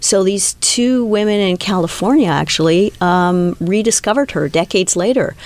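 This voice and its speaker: A woman with an ordinary speaking voice, medium pitch and ordinary pitch variation, at a moderate pace with very even loudness and hardly any pauses. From Canada. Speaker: documentary film director. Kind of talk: interview. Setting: studio.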